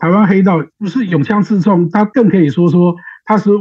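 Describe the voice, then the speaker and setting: Lively in intonation, a man talks at a fairly quick pace in a high-pitched voice. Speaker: political aide and analyst. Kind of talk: interview analysis.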